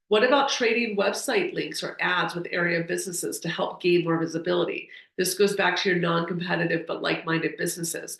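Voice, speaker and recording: With audible room echo, a woman speaks at a very fast pace with hardly any pauses. Her pitch is fairly low. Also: ordinary pitch variation. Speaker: retail expert, webinar presenter. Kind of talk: webinar presentation. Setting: online webinar.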